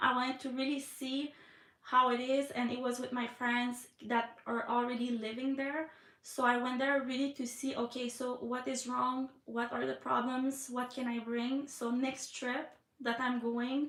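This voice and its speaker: A woman with a Quebec accent, high-pitched, fairly slow and monotone with flat intonation, over noticeable background noise. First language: French. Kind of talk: live stream chat. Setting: live stream from iPad. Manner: hesitant, many fillers.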